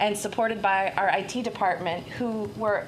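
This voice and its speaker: A woman speaks with fairly even intonation. Noticeable background noise and audible room echo fill the recording. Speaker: school principal. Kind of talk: report at board meeting.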